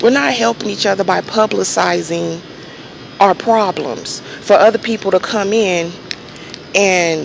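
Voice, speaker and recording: Soft-spoken, a woman talks at a fairly slow pace with medium pitch. Noticeable background noise is present. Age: 30s. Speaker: vlogger, registered nurse. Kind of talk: casual monologue vlog. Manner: halting.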